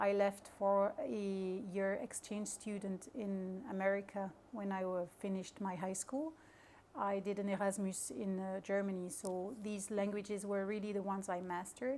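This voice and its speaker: In a French accent, a woman talks at a moderate pace in a medium pitch with ordinary pitch variation. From Luxembourg, grew up near the border. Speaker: maritime company crew officer. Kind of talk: interview. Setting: hotel event venue. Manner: halting, many fillers.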